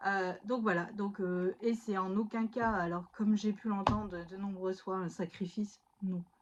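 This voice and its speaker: Against noticeable background noise, a woman speaks at a fairly slow pace in a medium pitch with fairly even intonation. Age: 30s. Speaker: stay-at-home mother and scrapbooking YouTuber. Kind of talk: casual chat. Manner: hesitant, many fillers.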